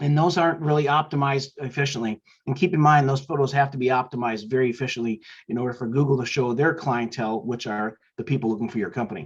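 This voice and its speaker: The speaker talks at a very fast pace with ordinary pitch variation. The voice is somewhat breathy. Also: man, medium pitch for a man. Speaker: marketing business owner. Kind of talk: business talk show monologue. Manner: halting, many fillers and repeats.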